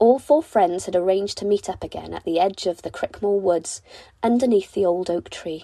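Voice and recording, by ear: At a moderate pace, a woman speaks at medium pitch in a dark, mellow tone with ordinary pitch variation.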